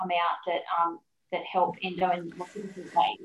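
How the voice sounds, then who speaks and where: A woman of medium pitch talks at a fairly quick pace with an Australian accent. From Sydney, Australia. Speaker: health podcast host. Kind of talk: interview, casual chat.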